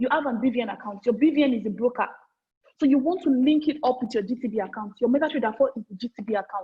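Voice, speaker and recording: A woman talks loudly at a very fast pace with a high pitch. Her pitch rises and falls in an ordinary way. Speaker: forex trading trainer. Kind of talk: online training session. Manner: repetitive.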